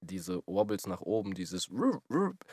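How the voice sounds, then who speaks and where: Recorded dry and close with no echo, a man speaks at a moderate pace in a very deep, low voice. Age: 20s. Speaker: podcast host and musician. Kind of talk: casual chat.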